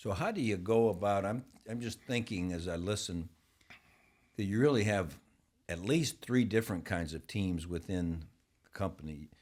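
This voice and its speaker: A man with an American accent speaks at a fairly low pitch, with ordinary pitch variation and long, frequent pauses. The recording is very clean, with a silent background. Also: moderate pace. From northern Ohio. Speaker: podcast host. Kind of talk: podcast interview.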